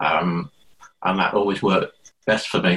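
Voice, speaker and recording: With a Liverpool accent, a man talks at a fairly slow pace in a fairly low pitch, his intonation fairly even. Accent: Liverpudlian. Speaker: adult education tutor. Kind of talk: casual interview chat.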